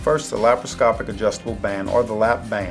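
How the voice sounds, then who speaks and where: A man talks at a fairly quick pace with clear music playing behind him. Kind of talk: explanatory talk to camera. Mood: calm, reassuring. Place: office.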